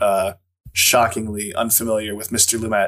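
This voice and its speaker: A man talks at medium pitch. He has a plain, everyday voice. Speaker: podcast co-host. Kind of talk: casual chat.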